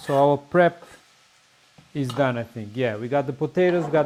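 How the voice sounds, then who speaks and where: A man with a Portuguese accent at a moderate pace, with noticeable background noise. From Portugal. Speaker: home cook. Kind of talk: cooking tutorial. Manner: casual, slightly halting.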